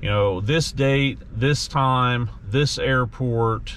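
A man at a very slow pace, with light background noise. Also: dry sound with no echo. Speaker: dog owner vlogger. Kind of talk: casual vlog chat. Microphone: phone near.

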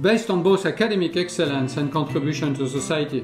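A man talks at a fairly quick pace with ordinary pitch variation. Clear music plays in the background, and audible room echo can be heard. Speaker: guest. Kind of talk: prepared speech. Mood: warm, upbeat. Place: home room.

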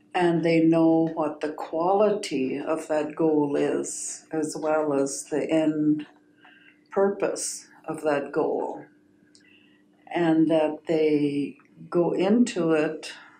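Spoken at a very slow pace with fairly even intonation, the voice carries audible room echo. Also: woman, very deep, low pitch for a woman. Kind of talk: interview answer. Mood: calm, reflective. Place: meeting room. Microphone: camera far.

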